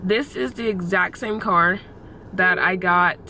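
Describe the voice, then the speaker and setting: A woman's medium-pitched voice at a fairly slow pace with ordinary pitch variation, over noticeable background noise. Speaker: vlogger. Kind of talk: casual vlog. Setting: in a car.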